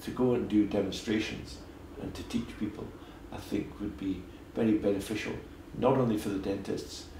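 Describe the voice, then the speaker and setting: Long, frequent pauses break up the fairly even intonation. Noticeable background noise and audible room echo fill the recording. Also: man, fairly low pitch for a man, moderate pace. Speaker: dentist. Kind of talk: interview.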